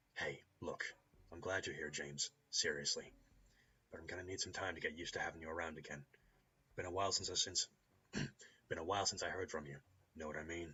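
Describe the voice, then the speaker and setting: In a put-on character voice, a man speaks very fast with a raspy, very deep, low pitch. Long, frequent pauses break up his speech. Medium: solo performance. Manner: blunt, casual.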